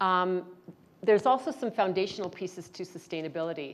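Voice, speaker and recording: The pitch varies in an ordinary way, and the background is quiet. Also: woman. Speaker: panel moderator, climate activist. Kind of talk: conference panel talk. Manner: fast.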